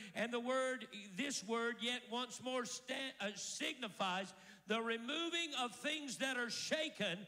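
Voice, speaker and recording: A man speaks in a raised, projected voice at an extremely high pitch, his tone bright and sharp, against a quiet background. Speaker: preacher. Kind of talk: sermon. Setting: church with congregation. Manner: animated, rousing call-and-response preaching; declarative, driving cadence with repeated 'I declare' phrases. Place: church. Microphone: handheld.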